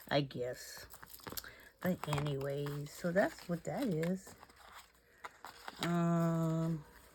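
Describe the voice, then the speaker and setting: With noticeable background noise behind her, a woman speaks at a very slow pace and fairly low pitch, with ordinary pitch variation and long, frequent pauses. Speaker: crafting channel host. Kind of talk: craft tutorial. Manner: casual, talking to herself; quieter than usual.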